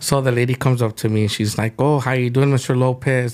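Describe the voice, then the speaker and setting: Fairly quick in pace, a man speaks with fairly even intonation. His pitch is medium. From California, Mexican-American. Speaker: chef. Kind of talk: casual interview storytelling.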